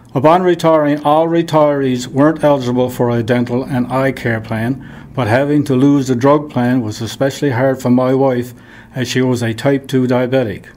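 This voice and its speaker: A man speaks with a Newfoundland accent and fairly even intonation. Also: medium pitch for a man, moderate pace. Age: 70s. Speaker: retired miner. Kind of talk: reading aloud.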